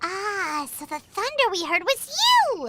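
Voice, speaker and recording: A put-on character voice, squeaky and extremely high in pitch. It moves at a fairly slow pace. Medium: machinima. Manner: chatty, casual.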